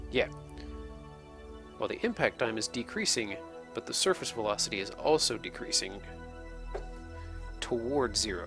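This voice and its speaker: Whispering at a moderate pace with long, frequent pauses, a man speaks over music in the background. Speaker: video game let's play host. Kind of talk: gameplay tutorial commentary. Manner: whispery.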